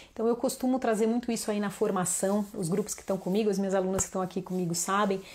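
Over light background noise, a woman talks at a very fast pace in an animated tone. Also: hardly any pauses. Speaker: children's yoga teacher. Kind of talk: online class / live talk. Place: home room. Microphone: lapel.

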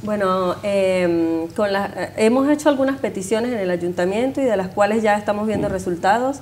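A woman talks at a moderate pace with hardly any pauses and ordinary pitch variation. There is light background noise. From Venezuela. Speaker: neighborhood association member. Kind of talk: TV interview. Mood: warm, friendly. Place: studio. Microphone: lapel.

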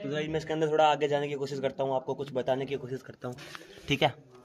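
A man speaks over noticeable background noise. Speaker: vlogger exploring cave. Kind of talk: casual vlog chat. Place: tunnel cave. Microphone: phone near.

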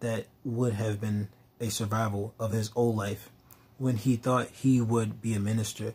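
The pitch moves in fairly even intonation. It is reading aloud in a natural voice.

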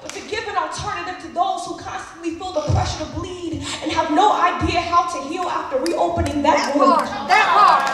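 Projecting a raised voice, a woman at an extremely high pitch speaks intensely at a moderate pace with hardly any pauses, fairly even intonation and big swings in loudness, amid noticeable background noise and audible room echo. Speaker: slam poet. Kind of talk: slam poetry performance. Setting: live stage. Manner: emotional, intense. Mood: intense, emotional, grieving. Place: stage.

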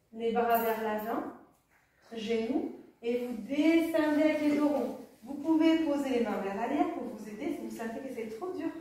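Strong room echo surrounds a woman who speaks at a high pitch and a fairly slow pace, with ordinary pitch variation. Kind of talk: exercise class instruction. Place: home room. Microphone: camera far.

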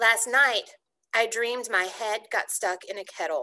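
A raspy, put-on character voice from a woman, fairly high in pitch, at a moderate pace. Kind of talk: read-aloud storytelling. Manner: troubled.

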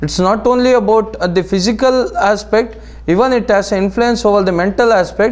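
This man's voice sits high in pitch. Room echo is audible around him. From India. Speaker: naturopathy lecturer. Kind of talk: lecture. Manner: halting, many fillers.

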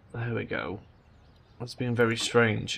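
A man with a medium-pitched voice talks while noticeable background noise is present. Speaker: gaming video commentator. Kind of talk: let's play commentary.

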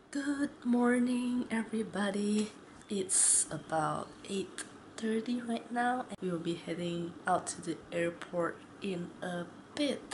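A woman speaks at a very slow pace with lively intonation. Noticeable background noise runs behind her. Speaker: travel vlogger. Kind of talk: casual vlog chat. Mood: excited about trip. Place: home room. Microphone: phone near.

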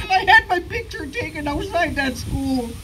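Over noticeable background noise, a woman talks at a moderate pace with lively intonation. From Listuguj, Quebec, Canada. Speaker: Mi'gmaq Elder, residential school survivor. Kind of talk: personal testimony at a public gathering.

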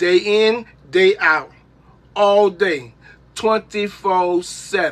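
Speaking at a very slow pace, a man with a high-pitched voice shows ordinary pitch variation. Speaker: livestream co-host, uncle of the host. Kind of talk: casual, profane, joking banter. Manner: loud, obnoxious, yells a lot. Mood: irritated, complaining. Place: home room. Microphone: phone near.

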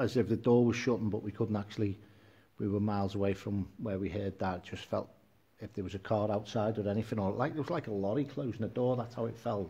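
Here a man talks at a very fast pace in a fairly low voice. His delivery is somewhat breathy. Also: fairly even intonation. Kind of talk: casual livestream chat. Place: gym.

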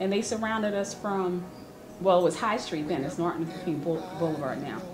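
Amid noticeable background noise, a woman with a New Jersey accent talks at a fairly slow pace. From Newark, New Jersey. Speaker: public defender attorney. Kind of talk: interview answer. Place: meeting room.

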